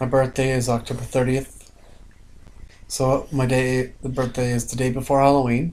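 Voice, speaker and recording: Flat and monotone, a man with an American accent talks at a moderate pace. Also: medium pitch for a man. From Long Island, New York. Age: 30s. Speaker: online video host. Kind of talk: casual chat.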